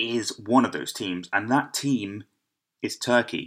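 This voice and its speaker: A man with an English accent speaks at a medium pitch with fairly even intonation, on a very clean recording with a silent background. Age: 20s. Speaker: football podcast host. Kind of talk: solo podcast monologue. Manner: halting.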